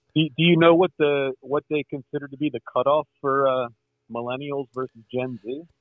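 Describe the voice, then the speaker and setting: Using an ordinary speaking voice, a man talks at a moderate pace and a fairly high pitch, with big swings in loudness. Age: 50s. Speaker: caller, military veteran. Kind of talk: call-in conversation.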